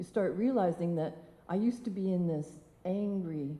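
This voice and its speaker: A woman's fairly low, somewhat breathy voice has a dark, mellow tone and a fairly slow pace. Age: 60s. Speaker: motivational speaker. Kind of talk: personal story talk on stage.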